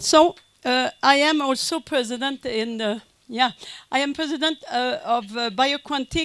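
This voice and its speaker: A woman with a French Canadian accent, high-pitched, at a fairly slow pace with ordinary pitch variation. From Quebec, French Canada. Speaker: conference speaker, business consultant. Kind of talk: conference lecture. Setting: conference with audience. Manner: halting, many fillers.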